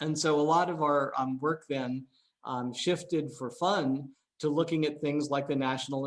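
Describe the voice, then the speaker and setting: A plain, everyday voice, male and fairly high-pitched, with a moderate tempo and pitch that varies in an ordinary way. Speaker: AI researcher. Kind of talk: seminar talk. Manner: many filler words.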